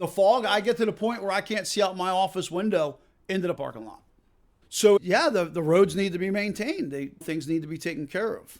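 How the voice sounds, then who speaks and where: The voice has big swings in loudness and ordinary pitch variation, with a slight Massachusetts accent. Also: man, high pitch for a man. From Massachusetts, near Worcester. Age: 50s. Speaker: park owner. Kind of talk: interview. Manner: casual, halting with fillers.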